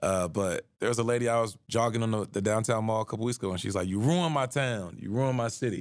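A man with a medium-pitched voice talks at a very fast clip with hardly any pauses and ordinary pitch variation, on a very clean recording with a silent background. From US South, Atlanta. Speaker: former city council member and vice mayor. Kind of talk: interview conversation. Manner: animated.

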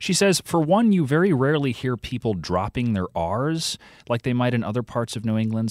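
A man talking at a very fast pace. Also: very clean recording, silent background. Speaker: podcast co-host reporting on accents. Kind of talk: interview.

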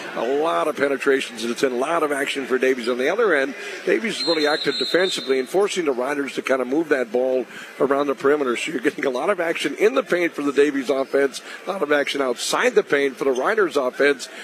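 Against noticeable background noise, a man talks very fast at a fairly high pitch with ordinary pitch variation. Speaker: radio color analyst. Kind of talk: live sports commentary. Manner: conversational, analytical, hesitant with filler words.

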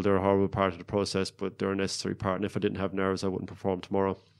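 The recording is very clean, with a silent background. A man talks in a fairly low pitch. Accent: Cork. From Ireland, County Cork. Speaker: Olympic rower. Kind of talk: interview.

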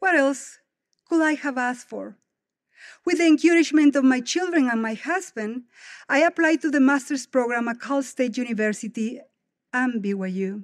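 With a Spanish accent, a woman with a high voice talks at a moderate pace, pausing long and often, her intonation lively, in a very clean recording with a silent background. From Guatemala. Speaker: devotional speaker. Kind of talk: devotional speech. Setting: stage with audience.

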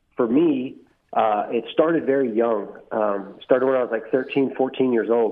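At a very slow pace, a man with an American accent speaks with ordinary pitch variation. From Texas Hill Country. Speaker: Marine Corps veteran, rehab admissions director. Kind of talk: interview, personal testimony.

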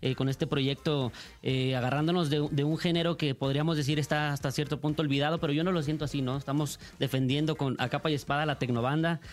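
The delivery is very fast and monotone, with flat intonation. Loudness stays very even throughout. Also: man, fairly high pitch for a man. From Michoacán, Mexico. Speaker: singer. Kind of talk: interview. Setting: radio studio.

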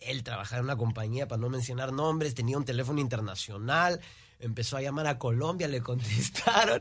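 Here is a man with a normal speaking voice and medium pitch. He talks fairly quickly with ordinary pitch variation. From Houston, Texas, Peruvian parents. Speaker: singer, musician. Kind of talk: interview.

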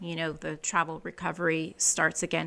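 Her tone is bright and sharp. The woman is heard in a very clean recording with a silent background. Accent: Californian. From California, US. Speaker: communications director. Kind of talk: interview, casual chat. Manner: chatty, sociable.

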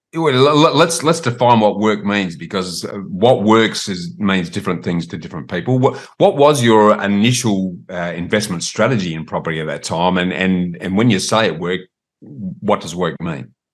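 Over a quiet background, a man with an Australian accent speaks at a moderate pace. His pitch is fairly low and his intonation lively. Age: older. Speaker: property podcast host interviewing. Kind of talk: interview.

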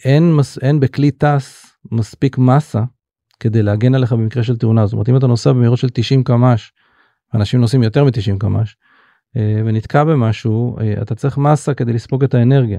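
A man speaks at a moderate pace and medium pitch, his tone dark and mellow and his intonation fairly even, in a dry, close recording with no echo. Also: very even loudness. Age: 50s. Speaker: startup CEO. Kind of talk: interview.

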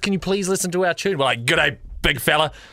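A man projects a raised voice in a New Zealand accent. His pitch is high, with ordinary variation. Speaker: radio host. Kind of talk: casual chat.

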